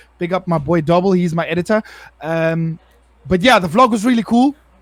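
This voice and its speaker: This man speaks loudly in an animated tone. His pitch is high, with lively intonation. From South Africa. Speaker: part-time streamer. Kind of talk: casual chat.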